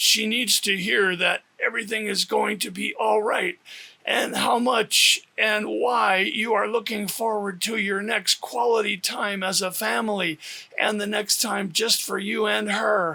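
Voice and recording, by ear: A man does a put-on character voice that is guttural and raspy, pitched high for a man. He talks at a fairly slow pace in a monotone, flat intonation.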